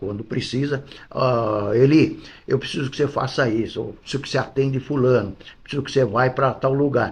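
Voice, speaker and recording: A man with a medium pitch talks with fairly even intonation and a somewhat breathy sound. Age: 80s+. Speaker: football club vice-president. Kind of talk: interview. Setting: club office.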